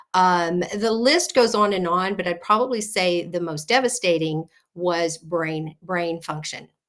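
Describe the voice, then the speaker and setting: A woman with an American accent uses a normal speaking voice, fairly low in pitch with ordinary pitch variation. She goes at a fairly slow pace with hardly any pauses, on a very clean recording with a silent background. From South Texas, near Corpus Christi. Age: 60s. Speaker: health coach. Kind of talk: interview.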